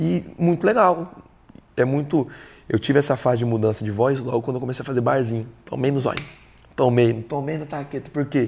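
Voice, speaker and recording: At a fairly quick pace, the speaker sounds animated and somewhat breathy. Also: man, medium pitch for a man, ordinary pitch variation. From São Paulo state, Brazil (Suzano). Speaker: country singer. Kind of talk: interview. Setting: studio.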